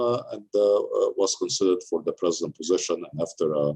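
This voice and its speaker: A man is speaking. He has an Arabic accent. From Egypt. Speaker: university president. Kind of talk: interview. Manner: halting, many fillers.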